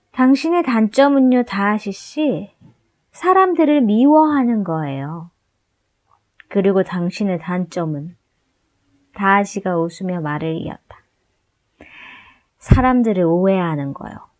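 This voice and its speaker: A woman speaks very slowly at a medium pitch, with long, frequent pauses. Her pitch swings very widely and her loudness shifts a lot, over a quiet background. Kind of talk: audiobook novel reading.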